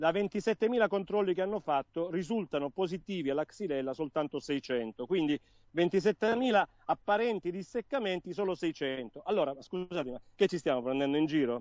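Speaking at a fairly quick pace, a man uses a high pitch and lively intonation. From southern Italy, Salento (Apulia). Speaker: interview guest on olive tree disease. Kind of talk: live interview.

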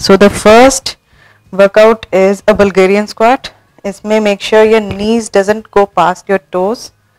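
A woman speaks at a very slow pace. Her intonation stays monotone and flat. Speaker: fitness vlogger. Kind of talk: tutorial. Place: home room.

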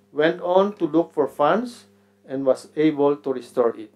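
A man at a fairly slow pace, with ordinary pitch variation and music in the background. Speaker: conference presenter. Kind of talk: conference talk. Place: hall. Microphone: podium.

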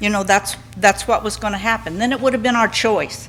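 This woman's medium-pitched voice comes through noticeable background noise. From Southern California. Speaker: resident speaking at public comment. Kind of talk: public comment at council meeting. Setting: city council meeting.

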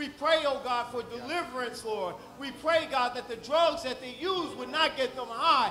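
Raising and projecting his voice, a man speaks at an extremely high pitch with ordinary pitch variation amid light background noise. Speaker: church leader giving welcome and prayer. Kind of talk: prayer and welcome. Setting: church. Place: church.

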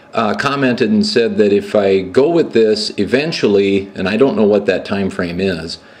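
Here is a normal speaking voice, a man with a fairly low pitch. He talks at a moderate pace. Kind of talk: tutorial. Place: garage.

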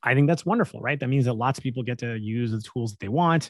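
A man speaks in a Canadian accent with ordinary pitch variation. The sound is dry with no echo, over a quiet background. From Canada. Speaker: tech company CEO; podcast guest. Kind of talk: casual interview. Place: home room. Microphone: studio mic.

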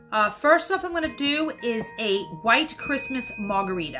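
A woman's pitch swings very widely as she speaks over music in the background. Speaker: home cocktail host. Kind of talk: casual tutorial chat. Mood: cheerful, apologetic asides. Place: home room. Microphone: phone near.

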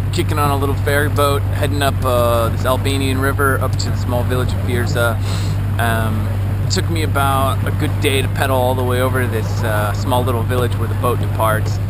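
Loud background noise surrounds a fairly quick voice with a dry sound and no echo. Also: man. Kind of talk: casual vlog chat. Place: boat. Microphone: phone near.

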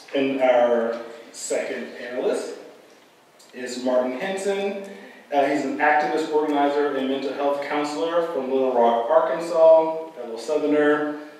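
Strong room echo surrounds a man speaking with ordinary pitch variation. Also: moderate pace. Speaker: moderator, professor. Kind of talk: formal introduction. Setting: stage with audience. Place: hall. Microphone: camera far.

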